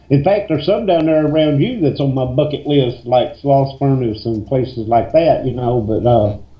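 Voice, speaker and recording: At a moderate pace and with hardly any pauses, a man talks in a somewhat breathy voice with lively intonation. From west Tennessee. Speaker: paranormal investigator. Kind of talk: casual radio interview.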